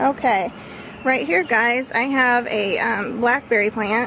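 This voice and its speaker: A woman talks fairly slowly while noticeable background noise carries on around her. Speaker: YouTuber vlogger. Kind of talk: casual vlog tour. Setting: outdoors in backyard garden. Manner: loud.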